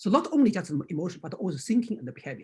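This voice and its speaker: In a Chinese accent, a man speaks with a high pitch and very wide pitch swings. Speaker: acupuncture teacher. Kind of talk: lecture. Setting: video call. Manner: halting.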